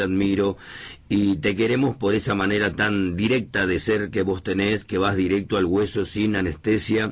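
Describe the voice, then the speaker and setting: This man has a plain, everyday voice at a fairly low pitch. He talks at a moderate pace with fairly even intonation. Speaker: radio host. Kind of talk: radio interview. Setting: radio studio.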